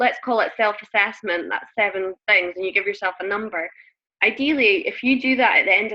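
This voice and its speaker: Speaking in a Scottish accent, a woman talks at a fairly quick pace with a fairly high pitch and ordinary pitch variation. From Scotland. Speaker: network marketing coach. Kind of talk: group coaching call. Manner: fast.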